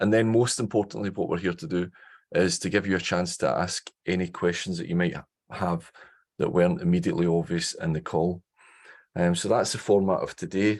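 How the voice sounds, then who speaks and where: A man with a very deep, low voice speaks at a fairly quick pace in a Scottish accent. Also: ordinary pitch variation. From Scotland. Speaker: professor. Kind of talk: online information session. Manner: fast.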